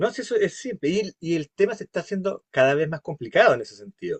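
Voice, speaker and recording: A man speaks with a Chilean accent at a fairly quick pace. His pitch is high and his intonation lively. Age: 60s. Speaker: course instructor. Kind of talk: interactive class discussion.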